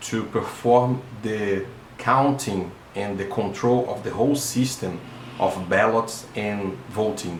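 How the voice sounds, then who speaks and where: Amid audible room echo and noticeable background noise, a man speaks very slowly at a fairly low pitch with ordinary pitch variation. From Brazil. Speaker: electronic engineer. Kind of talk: video monologue / explainer. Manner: halting, with fillers and repetitions.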